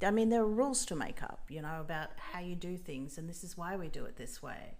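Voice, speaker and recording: With an Australian accent, a woman speaks at a fairly quick pace and fairly low pitch. Her intonation is lively, and audible room echo surrounds her voice. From rural Australia. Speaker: makeup artist. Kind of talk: interview.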